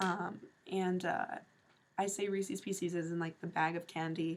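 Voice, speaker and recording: A fairly low-pitched woman with an American accent, at a moderate pace, with monotone, flat intonation. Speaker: vlogger. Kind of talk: casual vlog talk. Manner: casual, filler-heavy.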